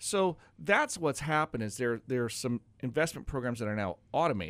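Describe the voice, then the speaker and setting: A man with an American accent has a normal speaking voice at a medium pitch and a fairly quick pace. The recording is very clean, with a silent background. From Oregon. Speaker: financial advisor and radio host. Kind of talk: casual radio talk show. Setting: radio studio.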